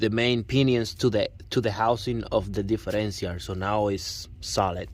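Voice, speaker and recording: Speaking with a Puerto Rican accent, a man talks at a fairly slow pace in a fairly low voice with fairly even intonation. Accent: Puerto Rican Spanish accent, noticeable. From Puerto Rico. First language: Spanish. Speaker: truck owner showing his car build. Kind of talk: vehicle walkaround tutorial. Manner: halting, with fillers and repeats.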